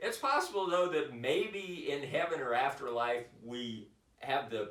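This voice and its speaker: There is audible room echo around a man's voice. He speaks at a fairly slow pace with lively intonation. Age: 60s. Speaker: vlogger, boulderer. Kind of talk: casual monologue vlog. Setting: home office. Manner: halting, many fillers.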